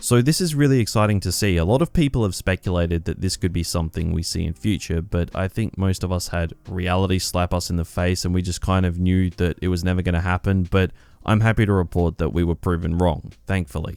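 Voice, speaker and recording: A quiet man with a very deep, low pitch and ordinary pitch variation, at a very fast pace with hardly any pauses, in a very clean recording with a silent background and dry, close sound with no echo. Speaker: gaming YouTuber. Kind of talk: casual news commentary. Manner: a little quiet.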